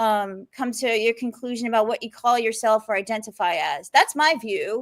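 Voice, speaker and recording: In an American accent, the speaker talks at a moderate pace with an energetic tone and ordinary pitch variation, on a very clean recording with a silent background and a dry, close sound with no echo. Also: woman, fairly high pitch for a woman. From New York. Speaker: undercover reporter. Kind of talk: interview.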